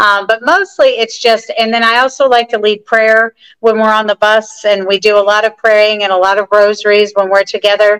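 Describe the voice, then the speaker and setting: A woman with a fairly high voice speaks at a fairly slow pace, with hardly any pauses. Her delivery is a flat monotone at very even loudness, and the sound is dry and close with no echo. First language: English (speaking Spanish). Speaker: pilgrimage group leader. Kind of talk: casual interview.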